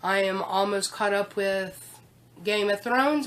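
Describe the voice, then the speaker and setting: Noticeable background noise sits behind a woman's voice. Her pitch is medium. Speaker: vlogger. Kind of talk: casual chat. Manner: hesitant, repeats words.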